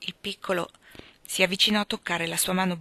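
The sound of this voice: The intonation here is fairly even. It comes in an unforced reading voice.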